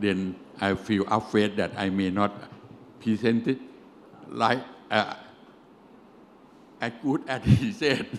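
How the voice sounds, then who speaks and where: Speaking at a very slow pace with long, frequent pauses, the man has a fairly low pitch. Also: ordinary pitch variation. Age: 70s. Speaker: engineering company CEO, lecturer. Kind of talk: lecture. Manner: halting, broken English.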